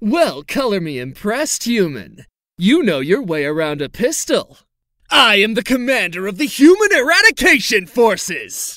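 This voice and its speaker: A man's high, raised and projected put-on character voice with very wide pitch swings. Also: moderate pace. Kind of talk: character audition reel.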